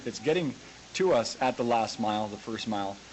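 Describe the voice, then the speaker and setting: A man with a Canadian accent, medium pitch and a fairly quick pace, over noticeable background noise. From Canada. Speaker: farmer and tech website owner. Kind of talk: conference talk. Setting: videoconference. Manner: hesitant, conversational.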